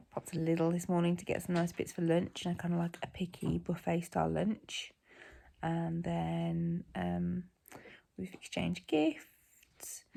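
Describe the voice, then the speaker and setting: A woman speaks with a British accent on a very clean recording with a silent background. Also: fairly slow pace. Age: 40s. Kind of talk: casual vlog talk to camera.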